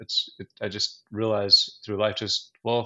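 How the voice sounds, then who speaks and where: A man with a normal speaking voice, medium pitch, and moderate pace. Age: 50s. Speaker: business owner. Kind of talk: casual chat.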